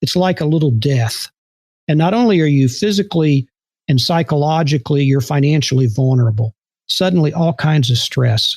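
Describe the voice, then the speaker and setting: A somewhat breathy voice in an American accent, at very even loudness. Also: man, fairly high pitch for a man, ordinary pitch variation, moderate pace. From Texas, Houston. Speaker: former intelligence officer. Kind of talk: interview storytelling. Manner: calm, conversational with hesitations.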